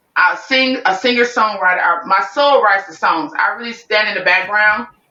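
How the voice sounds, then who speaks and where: With a strong New Orleans accent, a woman speaks in an animated tone. Her voice is fairly high with ordinary pitch variation. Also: moderate pace. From Chicago. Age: 40s. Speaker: singer-songwriter. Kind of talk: interview. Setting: podcast.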